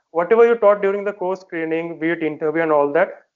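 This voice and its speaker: A high-pitched man with an Indian accent and ordinary pitch variation. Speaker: defence exam candidate and working professional. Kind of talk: interview. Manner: hesitant, many fillers.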